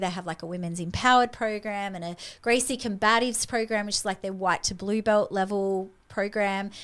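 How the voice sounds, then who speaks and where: In an Australian accent, a woman talks at a fairly quick pace. Her pitch is fairly high, with ordinary variation. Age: 50s. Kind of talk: casual chat. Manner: animated.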